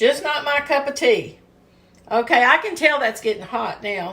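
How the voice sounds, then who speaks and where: A woman with a Kentucky accent at a moderate pace. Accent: Southern US (Kentucky). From US South, Kentucky. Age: 60s. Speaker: home cooking video host. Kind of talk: cooking tutorial. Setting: home kitchen. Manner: casual, chatty.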